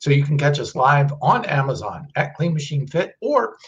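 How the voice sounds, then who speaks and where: A somewhat breathy man talks at a moderate pace. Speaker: presenter. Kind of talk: live stream talk on nutrition research. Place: office.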